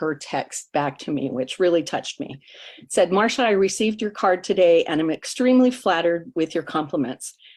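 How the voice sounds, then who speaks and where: In an ordinary speaking voice, a woman talks with hardly any pauses, using lively intonation and a fairly low pitch. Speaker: greeting card business distributor. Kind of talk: testimony.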